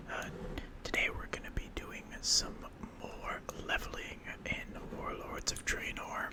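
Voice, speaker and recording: Whispering at a fairly slow pace, a man with an American accent is heard over noticeable background noise. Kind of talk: casual gaming commentary with whispered ASMR delivery. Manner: whispered.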